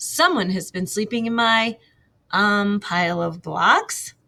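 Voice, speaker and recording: Putting on a growling character voice, a woman speaks fairly slowly at a medium pitch. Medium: read story.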